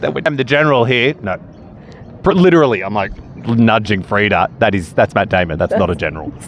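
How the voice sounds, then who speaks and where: Very wide pitch swings run through very fast speech. Noticeable background noise sits behind the voice. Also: man, fairly low pitch for a man. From country Victoria, Australia. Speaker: friend of the host. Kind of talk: casual chat.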